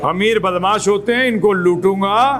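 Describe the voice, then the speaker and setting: With a high pitch for a man, he speaks amid noticeable background noise and audible room echo. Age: 60s. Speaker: spiritual teacher. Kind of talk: lecture.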